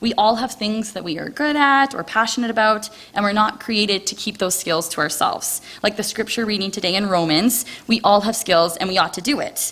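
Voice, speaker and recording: A woman with a Canadian accent speaks loud at a moderate pace, her fairly high voice bright and sharp, with ordinary pitch variation. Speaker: missionary volunteer. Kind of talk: testimony. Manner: loud and talkative.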